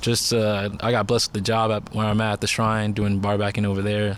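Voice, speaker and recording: Talking very fast in a fairly low, monotone, flat voice, a man is heard with audible room echo. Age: 20s. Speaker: bar worker. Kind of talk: casual chat.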